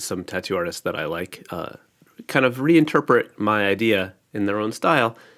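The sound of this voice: A man's low, nasal voice with a fairly bright tone at a fairly slow pace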